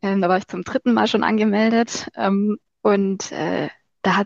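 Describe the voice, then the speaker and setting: A woman with a plain, everyday voice, medium in pitch, with fairly even intonation, recorded dry and close with no echo. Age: 20s. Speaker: marketing agency owner and social media creator. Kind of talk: casual interview.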